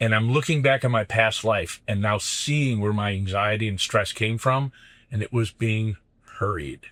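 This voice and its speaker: A man with an ordinary speaking voice, fairly low pitch and ordinary pitch variation at a moderate pace, on a very clean recording with a silent background. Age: 60s. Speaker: business coach. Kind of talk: casual chat. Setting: in a van.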